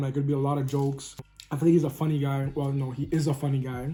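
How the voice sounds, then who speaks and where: Amid noticeable background noise, a man's fairly high voice races at a very fast pace. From Canada, Toronto. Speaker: food vlogger. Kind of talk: casual chat. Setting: eating on camera.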